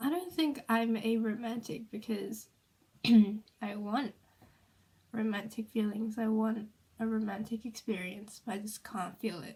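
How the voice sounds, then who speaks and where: Somewhat breathy and dark, mellow in tone, a woman's fairly high voice moves at a fairly slow pace with ordinary pitch variation. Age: 20s. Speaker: vlogger. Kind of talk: personal vlog. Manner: hesitant, many fillers.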